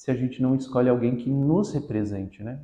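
His voice has a dark, mellow tone at medium pitch, as this man speaks with ordinary pitch variation. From Brazil, Guarujá (São Paulo coast). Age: 20s. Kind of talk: interview.

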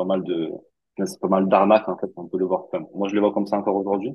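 A man speaks with a fairly low pitch. His intonation stays monotone and flat. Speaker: crypto investor. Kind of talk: interview.

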